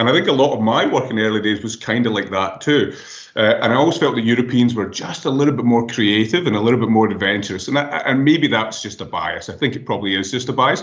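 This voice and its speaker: At a very fast pace, a man of medium pitch talks with hardly any pauses. His pitch varies in an ordinary way, and there is audible room echo. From Scotland. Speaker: professor. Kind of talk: interview. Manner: halting.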